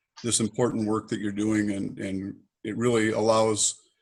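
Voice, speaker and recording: Using an ordinary speaking voice, a man talks at a moderate pace and a medium pitch. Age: 60s. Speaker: mayoral candidate. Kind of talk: moderated Q&A. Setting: video call.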